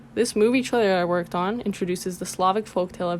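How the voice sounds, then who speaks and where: A woman speaks in a normal speaking voice at a medium pitch. Her pace is fairly quick, with ordinary pitch variation. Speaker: motion graphics artist and illustrator. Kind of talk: portfolio presentation narration.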